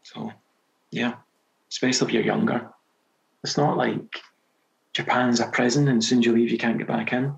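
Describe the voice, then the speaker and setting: Pausing long and often, a man with a Scottish accent speaks at a moderate pace in a medium pitch with fairly even intonation. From Scotland. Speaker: novelist. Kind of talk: podcast interview answer. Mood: relaxed, reflective. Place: home room. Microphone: headset.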